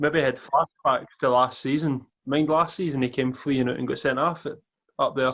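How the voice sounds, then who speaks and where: In a Scottish accent, a man speaks at a moderate pace with a fairly high pitch and fairly even intonation. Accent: Scottish, Edinburgh. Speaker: football fan pundit. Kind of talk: casual chat.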